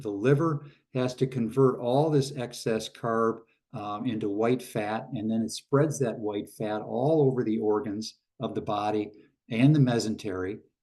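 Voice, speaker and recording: Here a man talks at a moderate pace with ordinary pitch variation. His tone is dark and mellow. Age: 70s. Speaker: craniosacral therapist and army veteran. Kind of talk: lecture. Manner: halting, with fillers; repeats key points for emphasis.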